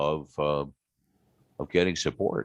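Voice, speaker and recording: A man with an American accent speaks in a very deep, low pitch. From US Midwest, small-town Ohio. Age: 60s. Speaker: aerospace illustrator. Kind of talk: interview conversation. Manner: hesitant, many fillers.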